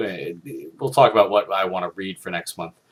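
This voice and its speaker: A quiet man talks at a fairly quick pace. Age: 30s. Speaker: film critic video host. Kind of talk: casual monologue. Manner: quiet, low; halting, many fillers.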